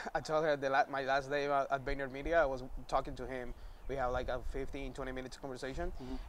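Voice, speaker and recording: A man with a Spanish accent talks at a very fast pace. His pitch is fairly high, and his intonation is monotone and flat. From Venezuela, Maracaibo. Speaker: graphic designer. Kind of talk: casual chat.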